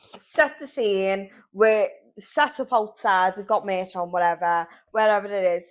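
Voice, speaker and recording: The speaker has a Liverpool accent and a fairly slow pace, with big swings in loudness. The recording is very clean, with a silent background. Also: woman, medium pitch for a woman, ordinary pitch variation. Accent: Scouse (Liverpool). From Liverpool, England. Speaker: podcast co-host, salesperson. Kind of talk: casual chat. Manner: animated.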